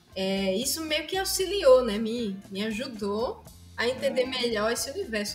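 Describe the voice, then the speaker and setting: Very wide pitch swings at a fairly slow pace, with music in the background. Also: woman. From Pernambuco, Brazil. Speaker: musician and music teacher. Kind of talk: interview answer.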